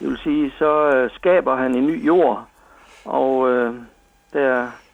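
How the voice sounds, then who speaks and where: This man has a fairly high-pitched voice. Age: 60s. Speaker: missionary. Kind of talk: radio interview. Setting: phone call. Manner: halting.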